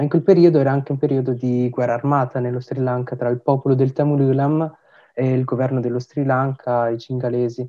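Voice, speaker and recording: A man's medium-pitched, monotone voice with flat intonation at a fairly quick pace. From Italy (Tamil family). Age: young. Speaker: podcast host. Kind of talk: interview.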